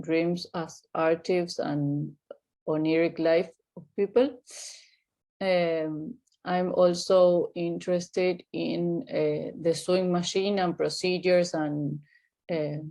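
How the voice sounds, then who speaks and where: A woman with an Argentine accent speaks very slowly in a dark, mellow tone, her fairly low pitch held in fairly even intonation. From Argentina (Buenos Aires). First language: Spanish. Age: 30s. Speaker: artist and clinical psychologist. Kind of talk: interview. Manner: halting, many fillers.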